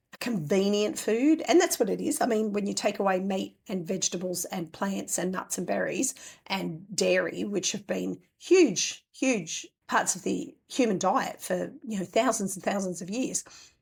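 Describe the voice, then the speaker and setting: A woman's medium-pitched voice with vocal fry and an Australian accent, hardly pausing at all. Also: moderate pace, very clean recording, silent background. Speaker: homesteading podcast host. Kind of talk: casual podcast talk.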